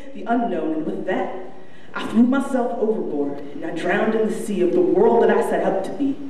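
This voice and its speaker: Audible room echo surrounds a woman speaking at a fairly quick pace. Her fairly high pitch swings very widely. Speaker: spoken word poet. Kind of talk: spoken word poetry performance. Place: stage.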